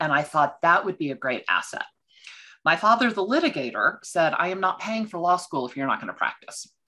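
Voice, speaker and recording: Against a quiet background, a woman with a Texan accent talks fairly quickly at a fairly low pitch, her bright, sharp tone making very wide pitch swings. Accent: Texan American. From Texas. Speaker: financial consultant for law firms. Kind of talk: podcast interview. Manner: energetic.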